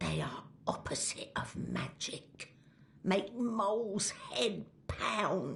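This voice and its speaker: Put on as a character voice, the growling delivery sits at middle pitch and moves at a very slow pace. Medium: video game. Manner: rustic broken grammar, speaks of itself in third person.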